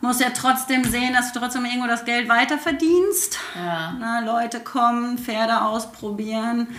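Audible room echo and noticeable background noise surround a woman with a high pitch and ordinary pitch variation who speaks with hardly any pauses. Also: moderate pace. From Germany, Sauerland. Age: 30s. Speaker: horse trainer. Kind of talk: casual chat. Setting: in her home.

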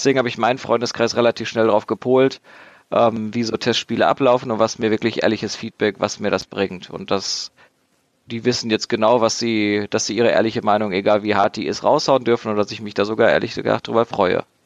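Recorded dry and close with no echo, a man with a normal speaking voice talks at a medium pitch and a fairly quick pace. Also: fairly even intonation. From Dortmund, Germany. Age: 20s. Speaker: board game designer. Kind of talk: casual chat.

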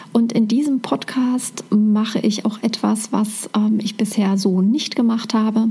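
At a fairly slow pace with hardly any pauses, a woman with a fairly high pitch speaks at a very even loudness and fairly even intonation, with noticeable background noise behind her. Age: 40s. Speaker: spiritual mentor and podcast host. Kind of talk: monologue podcast.

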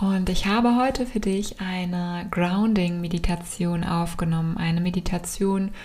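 A woman of medium pitch speaks in a calm, soothing tone with fairly even intonation over noticeable background noise. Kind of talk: guided meditation. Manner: slow, calm, soothing, with long pauses; soft-spoken, gentle.

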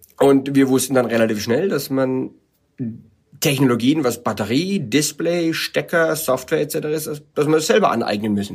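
Here is a normal speaking voice at a moderate pace. Its intonation is lively. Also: man, fairly high pitch for a man. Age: 40s. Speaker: bike product developer. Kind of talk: interview. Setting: wine cellar in South Africa.

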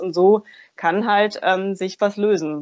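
This woman has an ordinary speaking voice with a medium pitch. Her pitch varies in an ordinary way. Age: 40s. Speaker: energy healer and coach. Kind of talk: interview.

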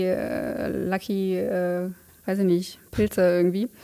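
A woman's voice at medium pitch carries a dark, mellow tone. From Cologne, Germany. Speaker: wedding photographer. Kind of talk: casual interview. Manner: halting, many fillers.

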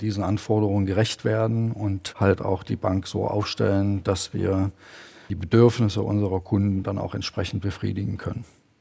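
Monotone and flat in intonation, the voice carries a dark, mellow tone. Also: man. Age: 50s. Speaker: bank executive. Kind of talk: corporate interview.

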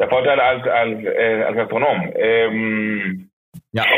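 A man's medium-pitched voice. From Venezuela, Maracaibo. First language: Spanish (speaking German). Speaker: restaurant owner. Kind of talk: phone interview. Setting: phone call. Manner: halting.

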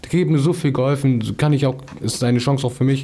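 Here a man is talking. His pace is very fast. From Hamburg, Germany. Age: 20s. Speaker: paraplegic accident survivor. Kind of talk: casual chat.

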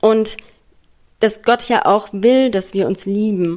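A woman at a very slow pace. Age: 30s. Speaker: escort. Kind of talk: recorded voice message.

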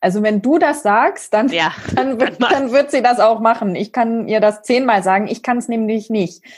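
Speaking at a moderate pace, a woman has a plain, everyday voice, a fairly high pitch and ordinary pitch variation. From village near Braunschweig, Germany. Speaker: podcast host. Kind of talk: podcast interview.

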